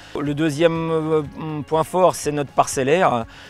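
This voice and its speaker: A man talks fairly slowly as music plays in the background. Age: 50s. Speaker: farmer. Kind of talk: farm presentation. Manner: hesitant, many fillers.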